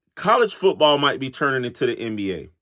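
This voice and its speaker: A man speaks in a bright, sharp tone with an American accent. The recording is very clean and silent behind him, dry and close with no echo. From Florida. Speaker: sports talk show host. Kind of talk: casual monologue. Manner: casual, conversational.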